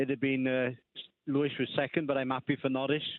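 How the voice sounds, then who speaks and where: Speaking at a very fast pace, a man with a fairly high pitch talks with a Welsh accent. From Wales. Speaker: caller. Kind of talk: casual chat. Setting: phone call. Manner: hesitant, with many fillers.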